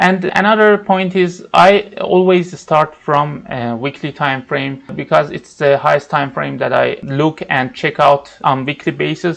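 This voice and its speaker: A man with a non-native accent speaks fairly slowly with hardly any pauses, in a fairly high voice with ordinary pitch variation. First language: not English. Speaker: trading educator. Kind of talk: tutorial. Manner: halting, with fillers.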